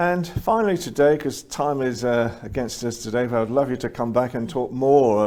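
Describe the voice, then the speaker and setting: Using an English accent, a man speaks at a moderate pace with a medium pitch. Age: 60s. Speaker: show host. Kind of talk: interview.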